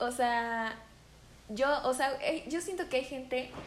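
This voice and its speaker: A woman's voice with audible room echo and noticeable background noise. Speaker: podcast co-host. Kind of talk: casual chat.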